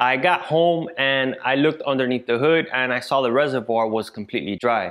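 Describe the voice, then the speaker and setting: Here a man speaks at a fairly quick pace. His pitch varies in an ordinary way over a quiet background. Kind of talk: casual vlog chat. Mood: frustrated storytelling. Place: garage.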